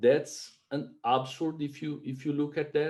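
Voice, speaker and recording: A man with a Brazilian Portuguese accent, a dark, mellow tone and ordinary pitch variation. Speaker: webinar host. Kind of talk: webinar presentation. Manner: halting, many fillers.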